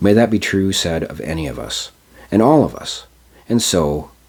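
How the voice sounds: The speaker uses a natural reading voice. It stays that way throughout.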